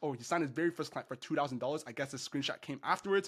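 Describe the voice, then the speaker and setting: The recording is very clean, with a silent background behind the man speaking. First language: not English. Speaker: online business coach. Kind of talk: tutorial. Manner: casual.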